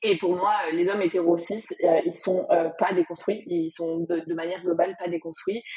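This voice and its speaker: Over noticeable background noise, a woman talks at a moderate pace with a fairly low pitch, fairly even intonation and hardly any pauses. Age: 20s. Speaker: content creator and business owner. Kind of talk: interview.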